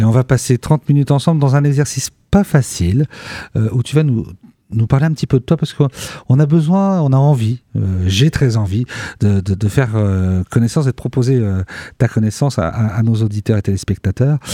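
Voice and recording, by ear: Dark and mellow in tone, the voice moves at a fairly quick pace in a dry, close sound with no echo. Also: man, medium pitch for a man, ordinary pitch variation.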